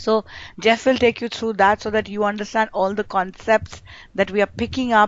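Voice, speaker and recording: A woman speaks at a fairly high pitch with monotone, flat intonation. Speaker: corporate trainer. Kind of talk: online training briefing. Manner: fast. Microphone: breaking up connection.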